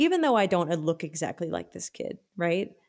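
An ordinary speaking voice with an American accent moves at a moderate pace on a very clean recording with a silent background. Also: woman. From Texas, Austin. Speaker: musician. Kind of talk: casual chat.

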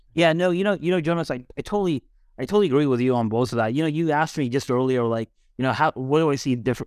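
A man with an American accent at a very fast pace, very even loudness, and a quiet background. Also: dry, close sound with no echo. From Dallas, Texas, US. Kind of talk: casual podcast conversation. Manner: casual, filler-heavy.

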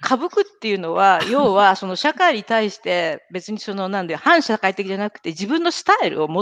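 A woman at a medium pitch makes very wide pitch swings and big swings in loudness. Her pace is moderate, the sound dry and close with no echo. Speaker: podcast host and marketing professional. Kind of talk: casual chat. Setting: live video stream.

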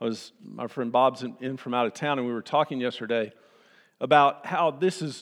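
A man talks at a moderate pace with a Texan accent. The recording is very clean, with a silent background. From Texas, Austin. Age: old. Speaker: pastor. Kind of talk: sermon. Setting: church.

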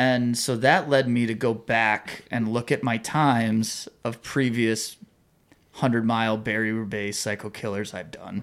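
An American man talks fairly slowly with fairly even intonation in an unremarkable speaking voice. The recording is very clean, with a silent background. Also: medium pitch for a man. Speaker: cycling podcast host. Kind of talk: casual chat.

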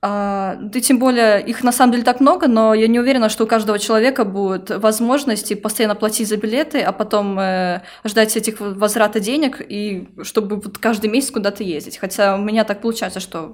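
With an unremarkable speaking voice, a woman speaks at a fairly quick pace, her pitch fairly high and her intonation fairly even. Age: 20s. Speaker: manager and youth worker, Erasmus participant. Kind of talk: casual interview.

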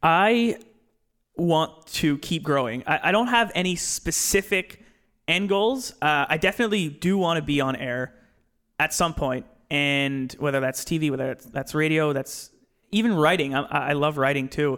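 A man with an unremarkable speaking voice talks at a moderate pace in a fairly high pitch. His intonation is lively, and the recording is very clean with a silent background. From Nova Scotia, Canada. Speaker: sports broadcaster, former student. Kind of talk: casual chat.

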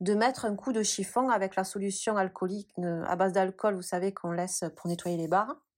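A woman's plain, everyday voice at medium pitch, with a moderate pace, fairly even intonation and a very clean recording with a silent background. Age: 30s. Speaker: pole dance studio founder. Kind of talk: interview.

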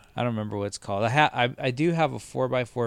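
Here a man speaks in a Californian accent. His pitch varies in an ordinary way. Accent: Californian American English. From Southern California, Los Angeles suburbs. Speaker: TV editor. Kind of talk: casual chat. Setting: tree fort.

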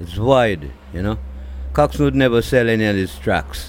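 This man has a medium pitch and speaks at a fairly slow pace. His pitch swings very widely. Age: 60s. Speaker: reggae singer. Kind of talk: interview. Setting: at home. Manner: halting.

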